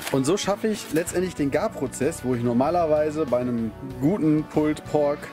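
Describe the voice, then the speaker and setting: Clear music plays in the background while the speaker talks at a moderate pace. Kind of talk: cooking tutorial. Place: garden.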